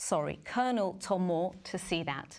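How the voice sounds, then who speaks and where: Her voice is an unremarkable speaking voice, fairly low for a woman, with ordinary pitch variation. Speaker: newsreader. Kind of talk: live broadcast presenting.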